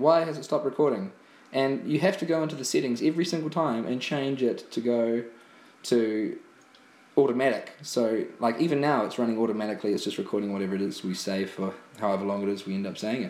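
A man with a New Zealand accent, very fast pace and lively intonation. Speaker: podcast co-host. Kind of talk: casual chat. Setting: at home, recording on an iPad.

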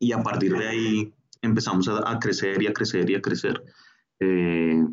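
With a Bogotá accent, a man speaks at a very deep, low pitch with ordinary pitch variation. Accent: Bogotá Colombian Spanish. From Bogotá, Colombia. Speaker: street artist and stencil educator. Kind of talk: interview.

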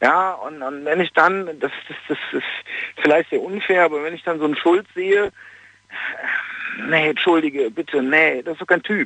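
Over noticeable background noise, a man speaks at a fairly slow pace with a high pitch and ordinary pitch variation. His loudness swings widely. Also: dry, close sound with no echo. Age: 40s. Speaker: caller. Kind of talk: phone-in opinion. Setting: phone call.

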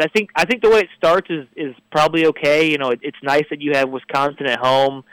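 This man speaks very fast, with a Midwestern American accent and a fairly high pitch that shows ordinary variation. The sound is dry and close, with no echo. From northern Indiana, Crown Point. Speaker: sports editor, journalist. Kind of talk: radio sports talk. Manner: hesitant, many fillers.

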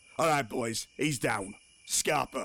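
Putting on a character voice, a man speaks slowly at a medium pitch in a bright, sharp tone with vocal fry and ordinary pitch variation.

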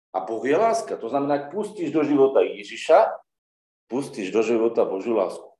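A man talks at a fairly quick pace with vocal fry, very wide pitch swings and big swings in loudness. Audible room echo is present. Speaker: preacher. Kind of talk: sermon.

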